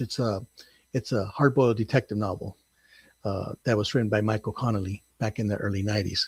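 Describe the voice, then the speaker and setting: Somewhat breathy, a man speaks with ordinary pitch variation in a dry, close sound with no echo. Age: 60s. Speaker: first-time novelist. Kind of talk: interview. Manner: halting, many fillers.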